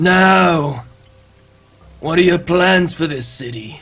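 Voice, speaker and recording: In a put-on character voice, a man speaks raspily at a very slow pace and fairly high pitch, with faint music in the background. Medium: actual play. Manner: cool, questioning.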